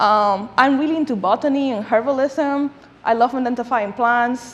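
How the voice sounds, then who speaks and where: Noticeable background noise sits behind the speaker. A woman with a Spanish accent talks with a high pitch and ordinary pitch variation. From Dominican Republic. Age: 20s. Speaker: food justice advocate. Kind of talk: lecture.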